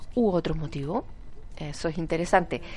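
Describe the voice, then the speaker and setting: Her tone is dark and mellow. The woman's voice sits at a medium pitch and keeps a moderate speed. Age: 40s. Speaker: radio host. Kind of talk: casual chat. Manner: animated.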